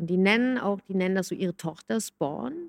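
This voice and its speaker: The recording of this woman at medium pitch is dry and close, with no echo. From Hamburg, northern Germany. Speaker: music coach and songwriter. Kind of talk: casual chat.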